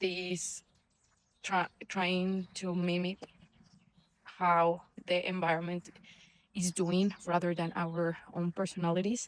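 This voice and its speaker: A woman's fairly low voice in a non-native accent, very slow and monotone, with flat intonation and long, frequent pauses. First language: not English. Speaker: vlogger, former engineer. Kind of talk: casual vlog monologue. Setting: outdoors walking the dog. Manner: hesitant, many fillers and restarts.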